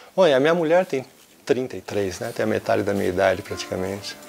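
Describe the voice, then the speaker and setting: With music playing behind him, a man talks using lively intonation. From Brazil, São Paulo. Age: 60s. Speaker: lute player, early music musician. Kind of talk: documentary interview. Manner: hesitant, with repetitions.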